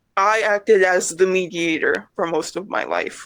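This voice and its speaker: The intonation stays fairly even. This is an unremarkable speaking voice. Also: woman. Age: 20s. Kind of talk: interview answer.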